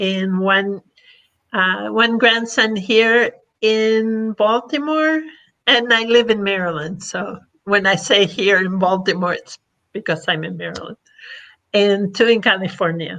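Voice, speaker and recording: A woman's bright, sharp tone at medium pitch, with an Argentine accent, ordinary pitch variation and a fairly slow pace. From Argentina, then Florida from age twelve. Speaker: past president of a service organization. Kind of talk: podcast interview.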